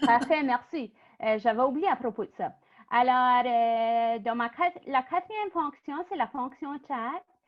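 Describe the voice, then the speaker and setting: Speaking very slowly, a woman with an Acadian accent uses lively intonation and a high pitch. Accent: Acadian French (chiac). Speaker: workshop presenter. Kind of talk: online workshop presentation. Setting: video call. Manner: hesitant, many fillers.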